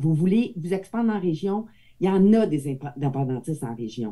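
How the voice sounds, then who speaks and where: A woman speaks with a Quebec accent in a dark, mellow tone at a fairly low pitch. Her pace is moderate, and her pitch swings very widely. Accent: Québécois French. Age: 60s. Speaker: audience member asking a question. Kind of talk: question from the floor.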